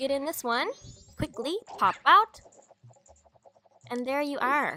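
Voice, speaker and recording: Raising and projecting her voice, a woman speaks at a fairly slow pace with a bright, sharp tone, a high pitch and lively intonation. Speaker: gaming video creator. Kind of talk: video game let's play commentary.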